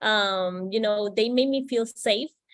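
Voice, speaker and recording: Very slow speech in a Spanish accent, with fairly even intonation. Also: woman. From Puerto Rico. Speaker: psychiatry resident. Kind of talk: panel discussion.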